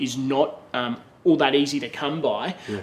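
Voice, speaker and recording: Noticeable noise sits in the background. The man talking has a medium pitch. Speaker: auctioneer. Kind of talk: interview answer.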